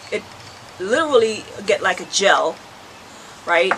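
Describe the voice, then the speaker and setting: A woman with a Jamaican accent, a fairly high voice, and a fairly slow pace over noticeable background noise. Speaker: herbal health vlogger. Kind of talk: tutorial. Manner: casual, conversational.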